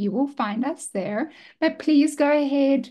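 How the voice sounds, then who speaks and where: A woman talks fairly slowly against a quiet background, her pitch varying in an ordinary way. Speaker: podcast host. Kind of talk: casual chat.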